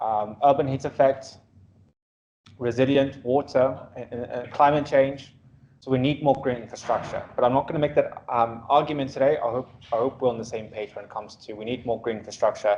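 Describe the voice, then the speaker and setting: A man's medium-pitched voice at a fairly quick pace, with fairly even intonation and big swings in loudness. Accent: South African. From South Africa, Afrikaans-speaking. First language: Afrikaans. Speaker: urban planner, guest lecturer. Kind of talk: guest lecture to students. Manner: casual, interactive; halting, repetitive fillers.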